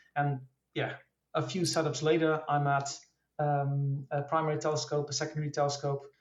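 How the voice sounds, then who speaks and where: The speaker talks at a fairly quick clip with a Dutch accent. The voice is somewhat breathy. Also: man. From Netherlands. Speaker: amateur astrophotographer. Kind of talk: casual interview. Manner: hesitant, many fillers.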